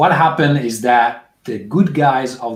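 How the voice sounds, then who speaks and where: A man with a non-native accent talks fairly slowly. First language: Italian. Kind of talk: game introduction. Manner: halting, many fillers.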